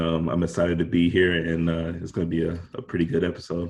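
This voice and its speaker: A man talks at a very fast pace in an American accent. His pitch is very deep and low. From Houston, Texas. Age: 20s. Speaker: real estate investor. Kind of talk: interview.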